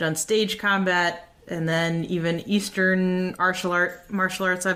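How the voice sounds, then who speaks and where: In an American accent, a woman speaks fairly low and slowly, her intonation monotone and flat. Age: 30s. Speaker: podcast host and fencing instructor. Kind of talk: podcast monologue.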